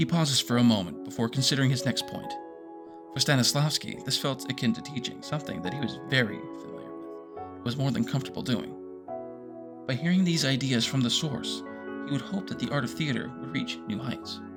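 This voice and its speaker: Over music in the background, a man talks at a fairly quick pace in a very deep, low voice with very wide pitch swings. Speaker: voice actor narrating a fictional audiobook. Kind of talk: third-person audiobook narration.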